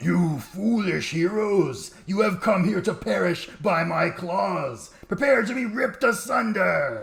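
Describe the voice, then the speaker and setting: Cackling at a high pitch, a man performs a put-on character voice at a fairly slow pace. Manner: cackling, menacing.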